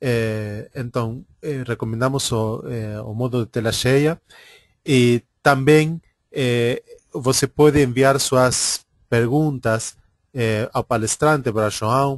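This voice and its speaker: A man with an Argentine accent talks at a very slow pace, his medium-pitched voice fairly even in intonation. The sound is dry and close with no echo, over a quiet background. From Argentina. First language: Spanish (speaking Portuguese). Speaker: webinar coordinator and moderator. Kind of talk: webinar introduction. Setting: online webinar. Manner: halting, many fillers.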